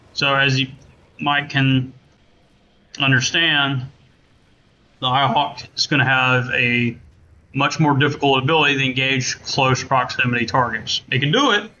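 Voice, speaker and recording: A man with a Southern US accent speaks at a medium pitch with fairly even intonation. His pauses are long and frequent. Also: fairly slow pace. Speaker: gaming content creator and game modder. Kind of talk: tutorial. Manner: casual, with many fillers. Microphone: laptop mic, poor quality.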